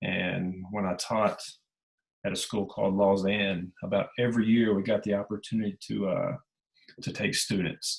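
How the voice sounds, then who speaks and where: A man with a Southern US accent, fairly low pitch, moderate pace, and monotone, flat intonation. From US South, Memphis area (Tennessee/Mississippi). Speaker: travel writer and teacher. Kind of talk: presentation to writers group. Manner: casual, conversational with fillers.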